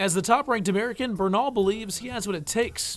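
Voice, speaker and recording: Talking at a very fast pace, a man with a high pitch uses ordinary pitch variation against noticeable background noise. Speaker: sports reporter and anchor. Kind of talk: TV sports news reporting and anchoring.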